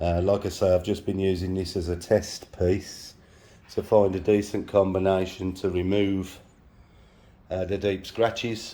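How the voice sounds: This man has a low-pitched voice. His tone is dark and mellow, with little pitch movement. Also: fairly slow pace.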